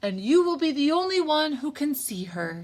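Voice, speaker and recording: A woman puts on a character voice, pitched high with very wide swings, at a moderate pace. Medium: read story. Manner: chuckling.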